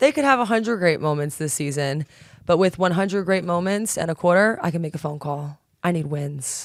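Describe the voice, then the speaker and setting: A woman with an unremarkable speaking voice talks at a fairly low pitch and a fairly quick pace. Her intonation is lively, and the recording is very clean with a silent background. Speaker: sports director and anchor. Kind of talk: casual on-air banter. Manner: playful, joking.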